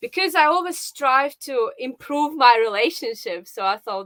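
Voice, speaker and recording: A woman with a Russian accent speaks at a high pitch, her voice making very wide pitch swings. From Russia, Saint Petersburg. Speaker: live show guest, viewer. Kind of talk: casual interview.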